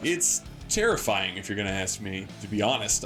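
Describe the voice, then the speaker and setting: A man is speaking. Music plays in the background. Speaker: sports commentator. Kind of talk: sports color commentary.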